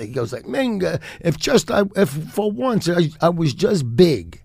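A man's fairly high voice with vocal fry and very wide pitch swings. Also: hardly any pauses. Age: 60s. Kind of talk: casual chat. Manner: animated.

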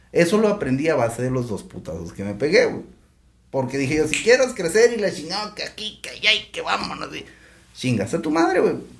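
A man's fairly high voice at a fairly quick pace, with very wide pitch swings, big swings in loudness and noticeable background noise. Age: 40s. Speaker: entrepreneur, restaurant owner. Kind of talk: casual chat.

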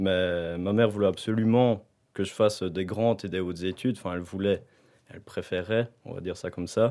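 A man with a plain, everyday voice speaks in a fairly low pitch. His pace is fairly quick and his intonation fairly even. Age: 20s. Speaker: university student. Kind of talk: casual chat.

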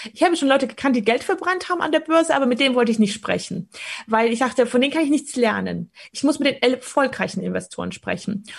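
Over noticeable background noise, a woman races along at a very fast pace, her high voice full of lively intonation. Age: 30s. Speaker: stock market coach. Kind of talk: interview conversation.

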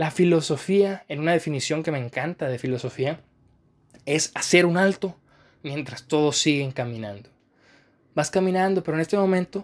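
Calm tone from a man, fairly high in pitch, moderate pace, ordinary pitch variation, very clean recording with a silent background. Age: 20s. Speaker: podcast host, philosophy student. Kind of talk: reflective monologue.

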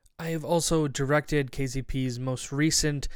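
A man with a Canadian accent speaks in an unremarkable speaking voice at a medium pitch with fairly even intonation. The recording is very clean, with a silent background. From Canada, Barrie, Ontario. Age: 20s. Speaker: podcast host and theater actor. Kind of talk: casual monologue.

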